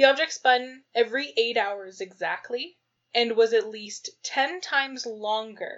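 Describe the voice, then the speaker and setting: A woman speaks at a fairly high pitch and a fairly slow pace, with ordinary pitch variation. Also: big swings in loudness. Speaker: podcast co-host. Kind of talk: casual chat. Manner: laughing often.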